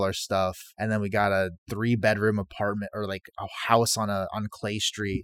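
Recorded very cleanly against a silent background, a man with an American accent speaks in an unremarkable speaking voice at a fairly low pitch, the sound dry and close with no echo. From Korean American, military family. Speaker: chef. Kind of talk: interview.

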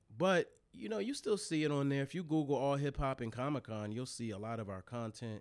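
In a very clean recording with a silent background, a man with an American accent speaks in a normal speaking voice at a fairly high pitch, with lively intonation and hardly any pauses. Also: fairly quick pace. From Delaware, US. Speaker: hip hop journalist and website co-founder. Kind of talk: casual interview.

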